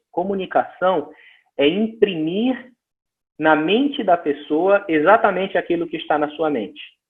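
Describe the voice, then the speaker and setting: With a northeastern Brazilian accent, a man speaks fairly slowly in a high pitch, his intonation lively. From Northeast Brazil. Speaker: missions speaker. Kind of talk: lecture. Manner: halting, with frequent repetitions.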